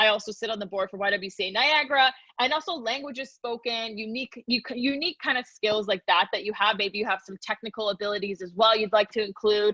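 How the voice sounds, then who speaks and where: Very fast and with hardly any pauses, a woman speaks in a fairly high pitch with a bright, sharp tone and ordinary pitch variation, the sound dry and close with no echo. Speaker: LinkedIn and career workshop presenter, tech recruiter. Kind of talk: webinar presentation.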